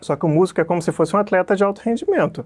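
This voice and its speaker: A man rattles along very fast with a quiet background behind him. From Rio de Janeiro state, Brazil (Petrópolis); Rio de Janeiro state, Brazil. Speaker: physiotherapy professor; physiotherapy teacher. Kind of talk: interview. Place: office. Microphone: lapel.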